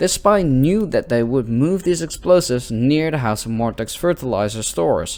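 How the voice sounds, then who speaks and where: Lively intonation from a man at medium pitch and a fairly slow pace, with music in the background. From Netherlands. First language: not English. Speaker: gaming youtuber. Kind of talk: let's play commentary with reading aloud. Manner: slow reading.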